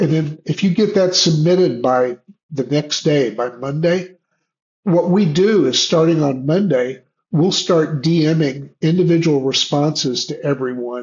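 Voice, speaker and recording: Pitched fairly high, a man speaks at a fairly slow pace with ordinary pitch variation. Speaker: online community organizer. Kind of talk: Q&A presentation. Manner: halting.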